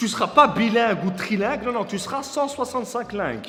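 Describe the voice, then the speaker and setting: Over noticeable background noise, a man speaks at a fairly quick pace in a high pitch. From Brussels, Belgium. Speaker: comedian. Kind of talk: comedic promotional monologue.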